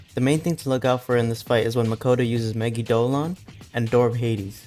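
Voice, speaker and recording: Very fast speech over music in the background. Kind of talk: gaming commentary voiceover.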